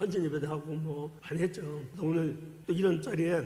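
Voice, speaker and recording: Audible room echo surrounds a man's fairly high voice. He speaks at a moderate pace with ordinary pitch variation. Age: 60s. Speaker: former cult member giving testimony, church deacon. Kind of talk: testimony. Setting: church service. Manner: animated.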